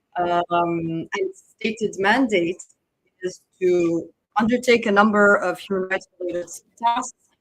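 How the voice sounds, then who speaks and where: Over music in the background, a woman speaks fairly slowly at a medium pitch with ordinary pitch variation. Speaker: human rights researcher. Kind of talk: conference panel talk. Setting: conference room with audience, no microphone. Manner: hesitant, many fillers. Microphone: no microphone.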